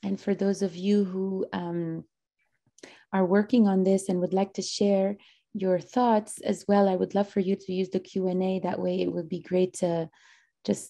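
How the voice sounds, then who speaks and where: Against a quiet background, a woman with a dark, mellow tone speaks at a moderate pace in a flat, monotone way. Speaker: workshop host. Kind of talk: event moderation. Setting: video call. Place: home room. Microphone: video call.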